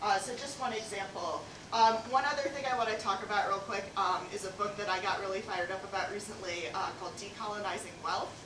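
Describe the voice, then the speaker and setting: A woman's medium-pitched voice with an American accent, very fast with hardly any pauses, ordinary pitch variation, audible room echo and noticeable background noise. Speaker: nonprofit worker, conference speaker. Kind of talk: lightning talk. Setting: stage with audience. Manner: animated; loud.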